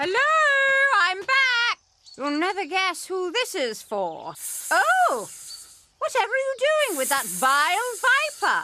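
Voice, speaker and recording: A cartoonish character voice swings very widely in pitch. It goes at a fairly slow pace with long, frequent pauses. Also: female-sounding voice, extremely high pitch for a woman. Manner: bossy, indignant.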